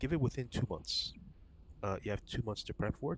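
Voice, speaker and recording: This man talks at a fairly quick pace, sounding somewhat breathy, with lively intonation. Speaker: gaming streamer. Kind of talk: live stream chat while gaming. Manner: casual, filler-heavy.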